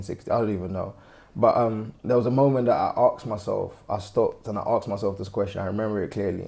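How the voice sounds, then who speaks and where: A man speaks at a very fast pace with a fairly low pitch. His tone is dark and mellow and somewhat breathy. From Nigeria, then London. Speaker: interview guest. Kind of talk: casual interview chat.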